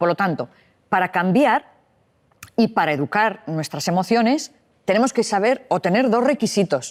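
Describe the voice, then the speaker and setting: With very wide pitch swings yet very even loudness, a woman at a medium pitch talks at a moderate pace with long, frequent pauses, the sound dry and close with no echo. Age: 60s. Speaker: psychologist and author. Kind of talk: interview.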